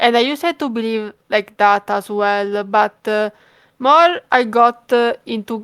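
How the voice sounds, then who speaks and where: A woman with an Italian accent, fairly high in pitch, in a dry, close sound with no echo. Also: very clean recording, silent background. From Italy. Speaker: fan page creator, horror game fan. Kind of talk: interview. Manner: hesitant, many fillers.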